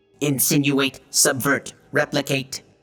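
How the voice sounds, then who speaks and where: A put-on character voice comes through at a low-to-middle pitch, fairly slow and monotone, with flat intonation. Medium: read story. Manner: flat, clipped single words.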